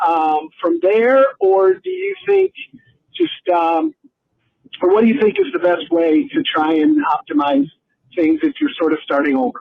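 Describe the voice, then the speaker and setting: This man's high pitch swings very widely while he talks at a fairly slow pace. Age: 50s. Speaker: listener leaving a voicemail. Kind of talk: voicemail question.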